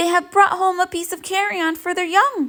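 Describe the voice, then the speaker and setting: A squeaky put-on character voice at a moderate pace. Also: woman. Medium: read story.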